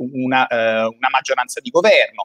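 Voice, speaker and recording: A man speaks at moderate speed, and the background stays quiet. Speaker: podcast co-host. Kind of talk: casual interview. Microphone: video call.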